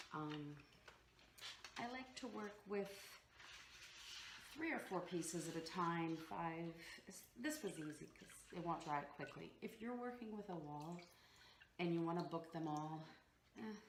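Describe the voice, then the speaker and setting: Pausing long and often, a woman speaks at a fairly slow pace and a fairly low pitch with ordinary pitch variation, in audible room echo. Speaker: DIY home decor vlogger. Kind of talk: tutorial. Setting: at home. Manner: casual, halting with fillers.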